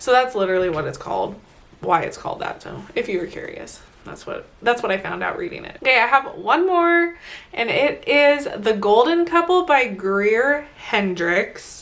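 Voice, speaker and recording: An animated woman speaks at a moderate pace in a high voice with very wide pitch swings. Noticeable background noise sits behind her. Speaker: book vlogger. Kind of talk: casual monthly book review vlog.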